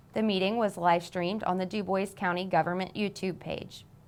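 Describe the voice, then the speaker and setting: A woman with a plain, everyday voice talks at a fairly quick pace and a medium pitch, her intonation fairly even, on a very clean recording with a silent background. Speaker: local TV news anchor. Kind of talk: local television newscast read.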